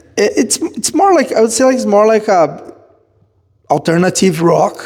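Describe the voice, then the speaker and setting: Speaking with a Portuguese accent, a man talks. His pace is fairly slow. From southern Brazil. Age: 30s. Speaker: musician and martial arts student. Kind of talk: casual interview chat. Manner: halting.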